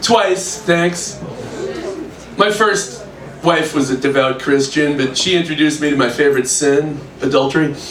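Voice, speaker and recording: Fairly high male voice at a moderate pace, with ordinary pitch variation and very even loudness, plus audible room echo and noticeable background noise. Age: 60s. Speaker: stand-up comedian. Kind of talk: stand-up. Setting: stage with audience.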